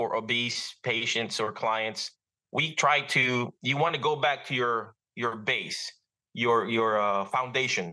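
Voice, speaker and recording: A man with a Filipino accent speaks at a very slow pace. His tone is bright and sharp, with ordinary pitch variation. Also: medium pitch for a man, quiet background. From Philippines. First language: Filipino language. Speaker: physical therapist. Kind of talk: interview. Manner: halting, many fillers.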